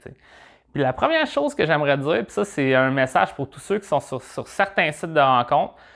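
Over a quiet background, a man with a Quebec accent speaks at a medium pitch and a fairly quick pace. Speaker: dating advice vlogger. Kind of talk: advice monologue, answering viewer question. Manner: casual, conversational, with filler words. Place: studio. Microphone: lapel.

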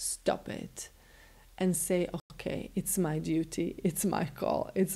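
Vocal fry runs through a woman's dark, mellow tone at fairly low pitch. She speaks very slowly in a monotone, flat intonation. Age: 40s. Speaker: spiritual teacher and healer; spiritual teacher. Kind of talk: motivational self-help talk. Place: home room.

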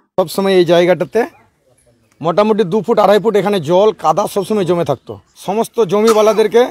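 With a dry sound and no echo, a man speaks at a high pitch using fairly even intonation. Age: 50s. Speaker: villager. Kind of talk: news interview soundbite; interview answer. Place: open country.

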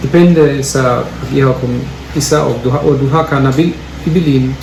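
The speech moves at a fairly slow pace. Audible room echo and noticeable background noise fill the recording. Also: man. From Germany. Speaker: home cook. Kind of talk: cooking explanation. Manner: halting.

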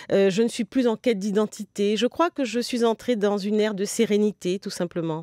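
A woman's dark, mellow tone at a moderate pace, with fairly even intonation, dry sound with no echo and a quiet background. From Guadeloupean family, grew up in Paris region. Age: 60s. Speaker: novelist; guest. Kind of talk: interview. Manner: hesitant, many fillers. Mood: calm, reflective. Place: studio.

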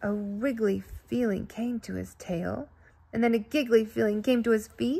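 The voice belongs to a woman. She talks at a moderate pace. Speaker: storybook reader. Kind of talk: reading a children's story aloud. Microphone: phone near.

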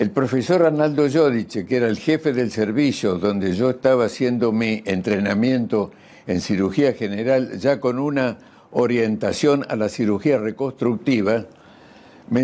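A man talks at a fairly slow pace with a medium pitch. His tone is dark and mellow, with ordinary pitch variation. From Argentina, Buenos Aires province. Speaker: burn surgeon, scientist. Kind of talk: interview. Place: home room. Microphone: lapel.

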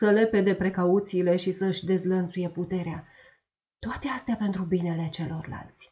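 Plain reading aloud in fairly even intonation, against a quiet background

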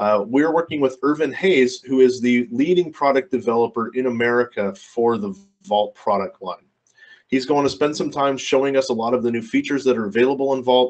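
A man talking at a fairly quick pace with ordinary pitch variation over a quiet background. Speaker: webinar host. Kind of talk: presentation introduction. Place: office.

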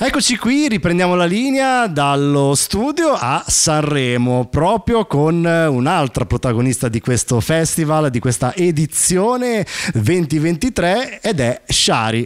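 Against a quiet background, a man speaks at a very slow pace in a fairly high voice, his pitch swinging very widely while his loudness stays very even. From Sicily. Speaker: radio host. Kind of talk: interview. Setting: studio. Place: studio. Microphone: handheld.

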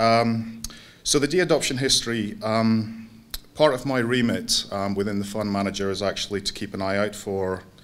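Moderately paced speech from a man with a fairly low pitch. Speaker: conference speaker. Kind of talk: lecture. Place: hall. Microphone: podium.

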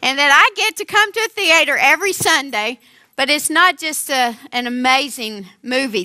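This woman's voice has a bright, sharp tone against a quiet background. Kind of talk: sermon. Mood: warm, grateful, lightly humorous. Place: stage.

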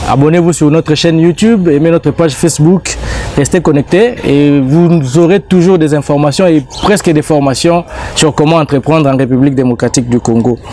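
With music in the background, a man talks with ordinary pitch variation in a dry sound with no echo. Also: moderate pace. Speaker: TV show host. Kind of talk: TV show introduction. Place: garden.

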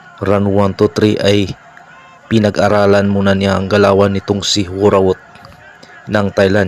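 In a Filipino accent, a man with a fairly low pitch speaks in a flat monotone at a fairly slow pace, his loudness very even and his pauses long and frequent. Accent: Filipino-accented Tagalog and English. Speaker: boxing commentator and channel host. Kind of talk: boxing commentary recap.

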